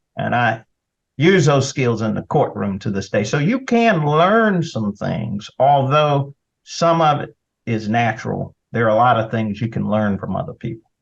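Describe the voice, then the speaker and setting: A man with a Southern US accent at a fairly slow pace, with lively intonation. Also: medium pitch for a man. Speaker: attorney and state senator. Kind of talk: interview conversation.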